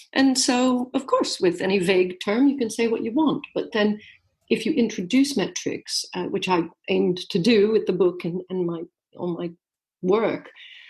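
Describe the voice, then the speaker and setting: With an American accent, a woman speaks at a moderate pace in a somewhat breathy voice. Her pitch is fairly high and her intonation lively. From US, New York. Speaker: author and business coach. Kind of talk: podcast interview.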